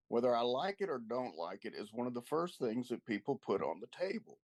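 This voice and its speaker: This man has a normal speaking voice with an American accent. He talks at a fairly quick pace and medium pitch. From US South, East Texas. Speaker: literature discussion guest. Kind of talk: book club discussion.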